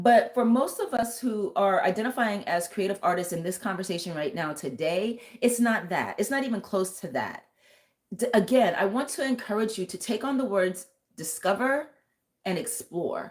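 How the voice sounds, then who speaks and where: A woman's fairly high pitch and lively intonation come through an unremarkable speaking voice delivered at a moderate pace. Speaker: tarot reader and vocal coach. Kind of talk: live stream tarot reading. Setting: live stream.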